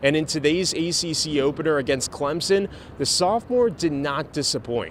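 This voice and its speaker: A man in a normal speaking voice talks at a moderate pace, his fairly high pitch moving with lively intonation. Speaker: TV sports reporter and anchor. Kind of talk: sports news anchor read.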